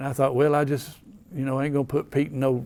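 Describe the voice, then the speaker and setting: In an Appalachian accent, a man talks with a dark, mellow tone at a medium pitch. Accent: Southern US, Appalachian. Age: 70s. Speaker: local historian. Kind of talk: storytelling. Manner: folksy, halting.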